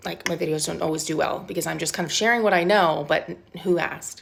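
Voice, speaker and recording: Talking at a very fast pace, a woman with a fairly low voice shows vocal fry and lively intonation. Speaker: self-publishing coach. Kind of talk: casual pep-talk to camera. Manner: conversational, informal.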